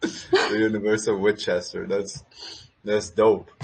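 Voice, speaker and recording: The man's voice comes across as somewhat breathy. He talks fairly slowly, with pitch varying in an ordinary way. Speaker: crypto community space host. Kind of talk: casual chat.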